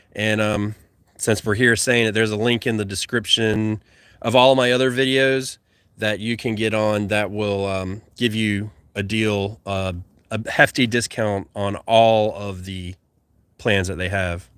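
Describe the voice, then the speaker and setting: A man speaks in a Southern US accent at a fairly slow pace. His pitch is fairly low and his intonation fairly even. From US South. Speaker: gardening YouTuber and podcast host. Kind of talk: livestream chat reading viewer comments. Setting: YouTube livestream. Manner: slurred words.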